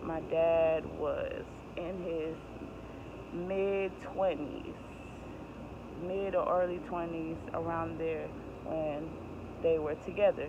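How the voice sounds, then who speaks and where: Noticeable background noise runs under the speech. The pace is very slow, with long, frequent pauses. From Jamaica (Kingston). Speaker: vlogger. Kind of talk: personal storytelling. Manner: casual, self-correcting.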